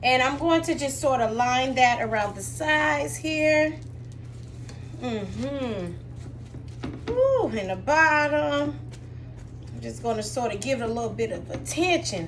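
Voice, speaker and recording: A woman with long, frequent pauses, in audible room echo. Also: fairly slow pace. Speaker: cooking vlogger. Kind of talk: cooking tutorial. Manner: casual, chatty.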